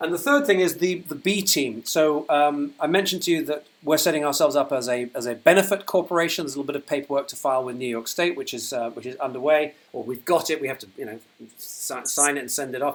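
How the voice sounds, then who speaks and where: Very fast and with hardly any pauses, a man with a British accent talks at a fairly high pitch, showing ordinary pitch variation and big swings in loudness. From UK. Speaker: company founder. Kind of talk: livestream update. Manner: hesitant, many fillers.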